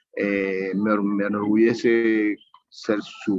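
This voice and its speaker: The speaker is a man with a fairly low pitch. He talks in a monotone, flat way. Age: 70s. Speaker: incarcerated student. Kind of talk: audience comment in online class. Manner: halting, with fillers.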